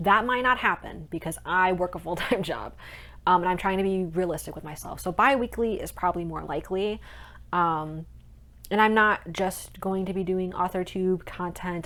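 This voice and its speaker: A woman's unremarkable speaking voice, fairly low in pitch with ordinary variation, at a moderate pace, on a very clean recording with a silent background. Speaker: aspiring author and vlogger. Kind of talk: casual vlog monologue. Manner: chatty, many filler ums.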